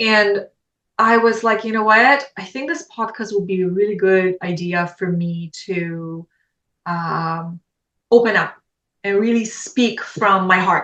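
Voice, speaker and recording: At a fairly slow pace, a woman talks at medium pitch with ordinary pitch variation. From Poland. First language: Polish. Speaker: podcast guest, podcaster. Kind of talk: casual interview chat.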